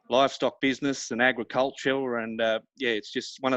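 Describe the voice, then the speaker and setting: Speaking at a fairly quick pace, a man with an Australian accent keeps a monotone, flat intonation at medium pitch, the sound dry and close with no echo over a quiet background. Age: young. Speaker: rodeo announcer and livestock auctioneer. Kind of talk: interview answer. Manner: hesitant, casual, many fillers.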